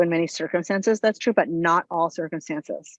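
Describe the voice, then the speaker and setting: A woman speaks at a fairly quick pace with a fairly low pitch and ordinary pitch variation, her voice dry and close with no echo against a quiet background. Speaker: psychologist presenter. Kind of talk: webinar lecture. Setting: online webinar. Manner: fast.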